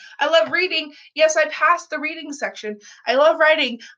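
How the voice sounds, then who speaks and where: A woman at a moderate pace. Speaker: vlogger. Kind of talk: casual vlog monologue. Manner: rambling, self-correcting.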